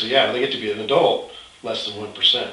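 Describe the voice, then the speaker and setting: A man at a moderate pace, with audible room echo. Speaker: host of a health product site. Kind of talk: conversational update, promotional talk. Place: office. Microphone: camera far.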